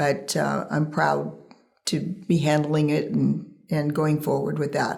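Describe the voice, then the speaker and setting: A woman speaks at a very slow pace, and room echo can be heard. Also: very even loudness. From Northern California, Central Valley. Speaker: ranch administrator. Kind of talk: interview.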